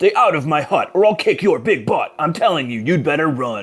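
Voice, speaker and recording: A growling, put-on character voice comes through on a very clean recording with a silent background. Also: man. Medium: read story.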